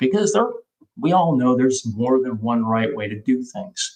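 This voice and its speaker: A man with a plain, everyday voice talks at a medium pitch with lively intonation. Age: 60s. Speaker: physician presenting on transgender care. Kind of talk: webinar presentation.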